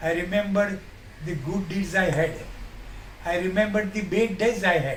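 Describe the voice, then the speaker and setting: Noticeable background noise sits behind this man's voice. He speaks at a moderate pace in a high pitch. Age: 80s+. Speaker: advocate, Covid survivor. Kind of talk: interview answer, personal story.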